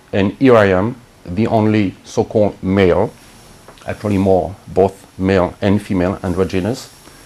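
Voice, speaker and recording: Amid noticeable background noise, a man with a fairly low pitch speaks at a moderate pace and fairly even intonation. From France, Brittany. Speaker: spiritual healer. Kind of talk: interview monologue.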